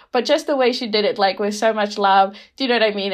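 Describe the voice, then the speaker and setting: A woman with a Fijian accent at medium pitch. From Rotuma, Fiji. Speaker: podcast guest. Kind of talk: casual chat. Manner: hesitant, many fillers.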